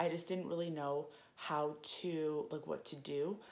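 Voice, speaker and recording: A woman with a Canadian accent, very deep and low in pitch, with ordinary pitch variation. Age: 20s. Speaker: fitness vlogger. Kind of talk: casual vlog monologue. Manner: hesitant, many fillers.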